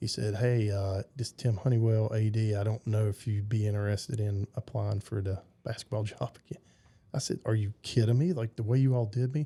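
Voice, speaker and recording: In a dry, close sound with no echo, a man with a Southern US accent speaks at a fairly quick pace in a fairly low, dark, mellow, somewhat breathy voice with fairly even intonation. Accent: Southern twang. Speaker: basketball coach. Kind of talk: casual interview chat. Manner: halting, repeats words.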